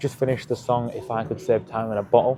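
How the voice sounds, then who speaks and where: Medium-pitched male speech, with noticeable background noise behind it. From England. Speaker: fitness vlogger. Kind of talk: casual vlog monologue. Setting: gym.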